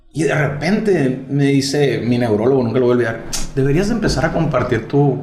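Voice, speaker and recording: A man speaks at a fairly quick clip with lively intonation and a medium pitch. The room echoes audibly, and there is noticeable background noise. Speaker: podcast host. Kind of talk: casual chat.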